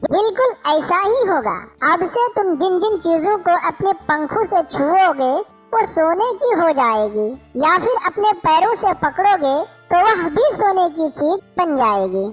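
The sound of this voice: At a fairly slow pace, a cartoonish, female-sounding character voice speaks at an extremely high pitch as faint music plays in the background.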